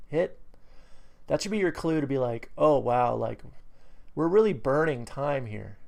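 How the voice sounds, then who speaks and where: An American accent colors this voice. It belongs to a man. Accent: New England accent, comes out when excited. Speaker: trading educator. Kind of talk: tutorial. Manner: casual, many fillers.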